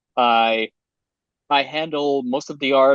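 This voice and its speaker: A man with a non-native accent speaks with fairly even intonation, the sound dry and close with no echo. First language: not English. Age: young (18). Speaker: game developer. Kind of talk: interview. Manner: halting.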